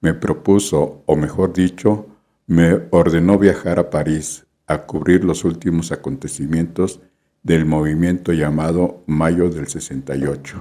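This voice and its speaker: This man has a very deep, low pitch and a dark, mellow tone, speaking at a fairly slow pace with fairly even intonation. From Mexico City. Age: 70s. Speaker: photojournalist. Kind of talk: scripted narration.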